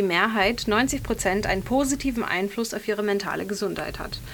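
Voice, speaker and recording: A woman talks fairly quickly in an ordinary speaking voice, fairly high in pitch with ordinary pitch variation. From western Germany (Bergisch Gladbach). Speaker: radio host. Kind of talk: casual chat.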